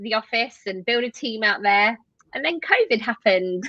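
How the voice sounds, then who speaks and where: In a British accent, a woman speaks at a fairly high pitch with ordinary pitch variation. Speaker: tech company co-founder. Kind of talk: interview.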